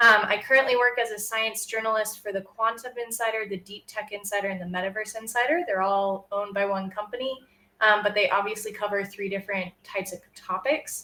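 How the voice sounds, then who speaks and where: It is a plain, everyday voice with an American accent and fairly even intonation. The delivery runs at a fairly quick pace with hardly any pauses. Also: woman, fairly high pitch for a woman. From United States. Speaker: science writer. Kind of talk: presentation. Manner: frequent filler ums.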